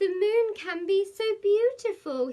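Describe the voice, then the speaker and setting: A woman uses a put-on character voice at an extremely high pitch. She goes at a fairly slow pace with lively intonation. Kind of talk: bedtime story. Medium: read story.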